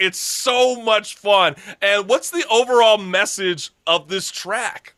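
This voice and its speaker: A man speaks in a raised, projected voice, high-pitched, with ordinary pitch variation. His pace is very slow. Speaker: talk show host. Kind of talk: casual interview hosting. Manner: upbeat, energetic.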